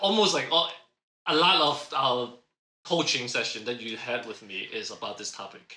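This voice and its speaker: A man with a slight Cantonese accent speaks with lively intonation and big swings in loudness, and room echo is audible. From Hong Kong, moved to North America at ten. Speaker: podcast co-host, career coach. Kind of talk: casual podcast chat. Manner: laughs while talking.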